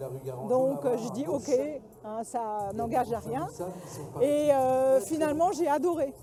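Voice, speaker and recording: A woman talks very slowly in a high voice with lively intonation. Noticeable background noise is present. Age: 60s. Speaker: breast cancer survivor, fencing club member. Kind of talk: interview testimony. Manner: hesitant, many fillers.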